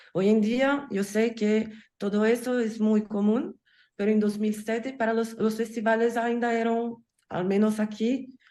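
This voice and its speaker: Speaking at a fairly slow pace in a Portuguese accent, a woman with a fairly high voice holds a flat monotone in a dark, mellow tone. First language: Portuguese (speaking Spanish). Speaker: film festival curator. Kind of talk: panel talk. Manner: halting.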